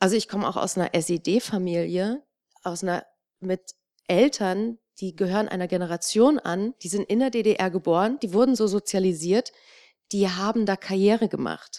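A woman's medium-pitched voice, dark and mellow, with ordinary pitch variation and a moderate pace, in a very clean recording with a silent background and a dry, close sound with no echo. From eastern Germany. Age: 30s. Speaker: author and podcaster. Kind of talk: panel discussion. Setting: stage with audience.

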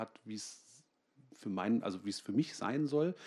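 A man's normal speaking voice at medium pitch and a moderate pace, with lively intonation, on a very clean recording with a silent background. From Germany, Münster. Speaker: comic artist. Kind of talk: comic reading and conversation on stage. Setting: library stage with audience.

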